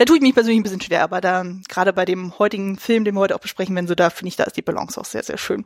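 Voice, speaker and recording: A woman at medium pitch, very fast, with ordinary pitch variation and a dry, close sound with no echo. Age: 30s. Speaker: film podcast host. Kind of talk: casual chat.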